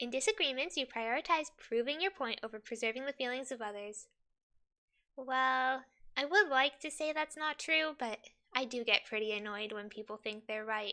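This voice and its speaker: A woman uses a raised, projected voice with a high pitch, bright, sharp tone, animated delivery and lively intonation. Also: moderate pace. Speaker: streamer. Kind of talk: casual livestream, reading quiz questions aloud. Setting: livestream. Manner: chatty, animated.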